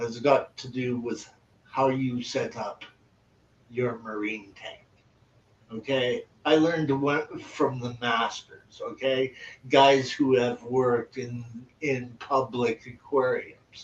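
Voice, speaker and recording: Over noticeable background noise, the voice moves at a very slow pace with monotone, flat intonation and big swings in loudness. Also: man, medium pitch for a man. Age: 60s. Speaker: aquarium hobbyist. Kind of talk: casual chat.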